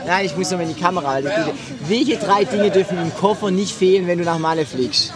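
A man talks at a very fast pace, his pitch high for a man. Music plays in the background, and the room echo is audible. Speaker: podcast host and party singer. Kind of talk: casual chat. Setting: outdoors at a Mallorca party venue. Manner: animated.

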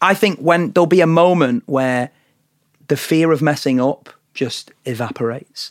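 Speaking in a Lancashire accent at a moderate pace, a man uses ordinary pitch variation, and the sound is dry and close with no echo. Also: fairly high pitch for a man. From northern England, Blackpool. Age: 20s. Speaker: singer-songwriter. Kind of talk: casual chat. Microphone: Shure SM7 studio mic.

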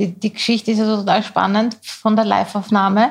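Somewhat breathy and fairly quick, a woman speaks at a medium pitch. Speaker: podcast co-host. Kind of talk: casual chat. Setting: studio.

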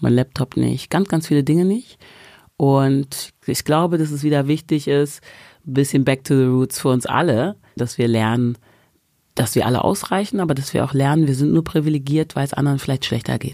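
A woman with a very deep, low pitch and a dark, mellow tone speaks at a moderate pace. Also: ordinary pitch variation. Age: 40s. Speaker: stage coach and author. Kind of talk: casual chat. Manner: animated.

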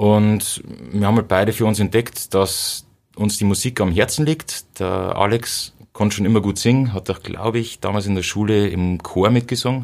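With an unremarkable speaking voice, a man talks at a moderate pace and a fairly low pitch, his intonation fairly even. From Bavaria, Upper Palatinate (Cham district). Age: 30s. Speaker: punk rock guitarist. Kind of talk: casual interview.

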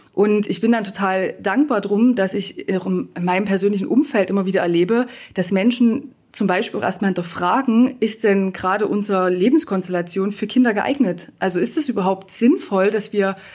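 A woman with a plain, everyday voice speaks at a moderate pace and medium pitch, using ordinary pitch variation. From eastern Germany. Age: 30s. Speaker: former nurse turned coach and consultant. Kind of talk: panel debate.

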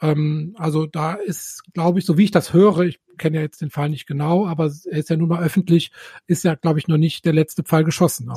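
In a dry, close sound with no echo, a man with a dark, mellow tone and a fairly high pitch speaks with fairly even intonation. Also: fairly quick pace. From Rhineland. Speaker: urologist, podcast co-host. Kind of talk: interview.

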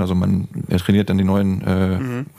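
There is noticeable background noise behind a man whose voice is very deep and low. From northern Germany, Bremen. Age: 30s. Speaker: whale-watching guide. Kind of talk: casual interview. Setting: in person, same room. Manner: hesitant with many fillers.

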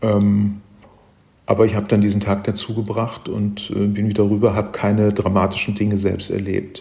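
A man speaks in a fairly low pitch with a dark, mellow tone and a somewhat breathy quality. His intonation stays monotone and flat. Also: moderate pace. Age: 70s. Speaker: travel writer and reporter. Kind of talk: interview. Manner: halting, many fillers and repetitions.

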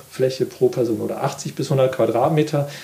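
A man speaks fairly slowly in a fairly high voice, with noticeable noise in the background. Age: 50s. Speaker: gardening magazine editor. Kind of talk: casual interview. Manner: halting.

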